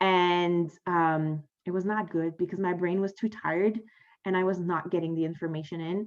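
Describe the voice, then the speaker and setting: A woman with a French accent, a fairly low pitch, a moderate pace, and monotone, flat intonation. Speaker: podcast host. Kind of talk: casual monologue. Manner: hesitant, many fillers.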